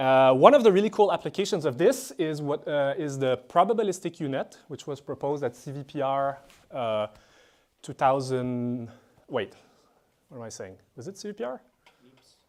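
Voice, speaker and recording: At a moderate pace, an unremarkable speaking voice shows big swings in loudness on a very clean recording with a silent background. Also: man, fairly high pitch for a man. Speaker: professor. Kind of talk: lecture.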